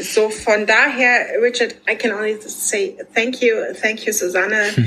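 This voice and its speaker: Noticeable background noise sits behind a woman with a German accent. Her fairly high voice is monotone and flat, at a fairly slow pace. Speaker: podcast host. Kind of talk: podcast interview.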